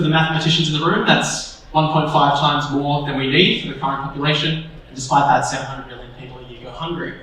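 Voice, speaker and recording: A fairly high-pitched man with an Australian accent at a fairly quick pace, with audible room echo and noticeable background noise. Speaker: panel moderator. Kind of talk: panel discussion moderation. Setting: stage with audience.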